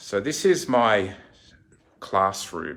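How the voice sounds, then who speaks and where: The speaker is a man. He has an Australian accent. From Australia, Sydney. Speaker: fortune teller and card reading teacher. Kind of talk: casual tour and tutorial. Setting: in own shop by the sea.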